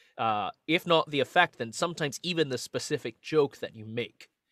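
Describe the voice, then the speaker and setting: The sound is dry and close, with no echo. In it, a man talks in a Scottish accent. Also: very clean recording, silent background. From Scotland. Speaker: magician and singer. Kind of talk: casual interview.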